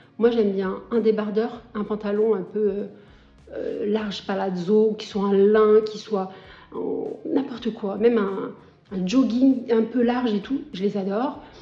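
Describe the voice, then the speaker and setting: A woman's fairly high voice at a very slow pace, fairly even in intonation, over noticeable background noise. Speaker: lifestyle vlogger. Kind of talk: casual vlog talk to camera. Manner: hesitant, many fillers.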